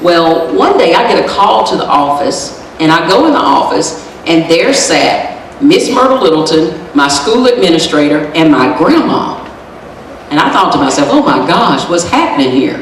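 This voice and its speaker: With an American accent, a woman talks at a moderate pace in a fairly low pitch, with very wide pitch swings but very even loudness. Audible room echo and noticeable background noise fill the recording. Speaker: lawyer and motivational speaker. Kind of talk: motivational speech. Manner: animated.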